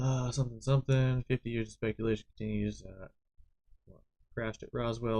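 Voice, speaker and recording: Mumbling in a flat monotone at medium pitch, a man sounds dry and close with no echo. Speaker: live streamer. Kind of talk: live stream, reading documents aloud with casual commentary. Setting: live stream. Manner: mumbling, skimming while reading.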